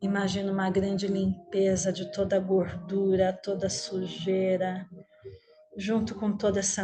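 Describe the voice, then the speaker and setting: At a very slow pace, a woman speaks in a soothing tone and medium pitch, with noticeable background noise behind her. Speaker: meditation teacher. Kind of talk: guided meditation. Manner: slow, soothing.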